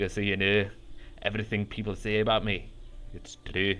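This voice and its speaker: A man uses a gruff, put-on character voice, fairly low in pitch and flat in a monotone at a moderate pace, over clear background noise. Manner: grumpy, gruff.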